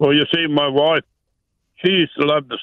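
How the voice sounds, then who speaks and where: At a moderate pace, a man with a New Zealand accent speaks at a fairly high pitch. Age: 80s+. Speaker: caller. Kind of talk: phone-in, personal story. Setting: phone call.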